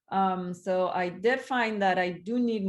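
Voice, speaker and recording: In a Spanish accent, a woman speaks at a medium pitch against a quiet background. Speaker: conference talk panelist. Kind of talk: webinar panel discussion.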